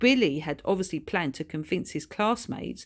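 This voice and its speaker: Over a very clean recording with a silent background, a woman speaks in a plain, everyday voice at a medium pitch with lively intonation. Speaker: author reading her own children's book. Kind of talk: audiobook narration of a children's story.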